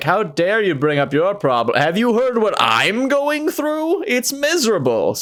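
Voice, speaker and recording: Using a put-on character voice, a man speaks at a moderate pace with a high pitch. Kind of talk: haughty, overdramatic. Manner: pompous, indignant.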